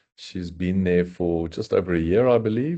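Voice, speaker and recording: A man with a South African accent speaks fairly slowly in a very deep, low pitch. His tone is dark and mellow, and the background is quiet. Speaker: software company executive. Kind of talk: webinar introduction.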